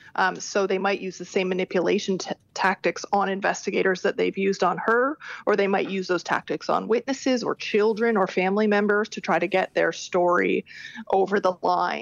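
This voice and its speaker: The speech has vocal fry, a fairly quick pace and fairly even intonation, with a dry, close sound with no echo over a quiet background. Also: woman, medium pitch for a woman. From Canada. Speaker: criminology professor. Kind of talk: interview.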